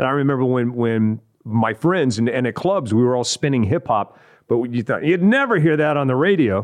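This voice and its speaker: A man with an American accent has a plain, everyday voice at a medium pitch. He talks at a moderate pace with lively intonation. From West Texas (Odessa). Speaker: TV and radio entertainment personality. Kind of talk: casual interview chat. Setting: studio.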